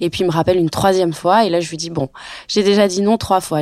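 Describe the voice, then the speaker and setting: Intonation stays fairly even as the words come at a very fast pace. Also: woman. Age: 30s. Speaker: actress and luxury cosmetics marketer. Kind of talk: personal testimony. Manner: hesitant with fillers.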